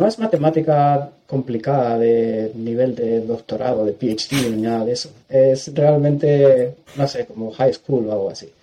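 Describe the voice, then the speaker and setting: With a plain, everyday voice, a man speaks at a fairly slow pace and medium pitch, using ordinary pitch variation and hardly any pauses. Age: 40s. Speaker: cloud solutions architect. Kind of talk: technical interview.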